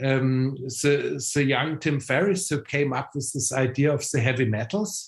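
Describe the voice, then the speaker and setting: A man with a German accent speaks at a fairly slow pace in a fairly high, somewhat breathy voice with ordinary pitch variation. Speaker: biohacking expert. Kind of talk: interview. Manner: halting, many repeated words and fillers.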